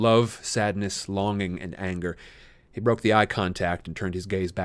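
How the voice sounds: Just a natural reading voice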